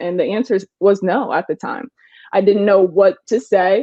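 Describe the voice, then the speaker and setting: A woman uses a normal speaking voice, her medium pitch showing ordinary pitch variation. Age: 20s. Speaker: real estate agent. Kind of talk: interview answer.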